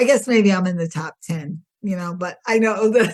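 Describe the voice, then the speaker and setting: A somewhat breathy woman at a moderate pace. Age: 60s. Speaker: podcast guest sharing health story. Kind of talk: interview testimony.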